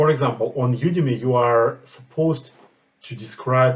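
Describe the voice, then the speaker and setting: Somewhat breathy and with a non-native accent, the voice moves at a fairly slow pace with fairly even intonation. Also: man. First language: not English. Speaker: project manager and course creator. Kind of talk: tutorial.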